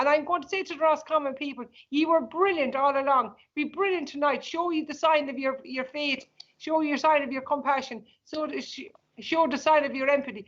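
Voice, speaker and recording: A woman with a rural Irish accent speaks at a fairly quick pace in a high pitch, her intonation fairly even. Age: 60s. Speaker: evicted farm owner, campaigner. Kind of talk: emotional appeal in interview. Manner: impassioned, pleading.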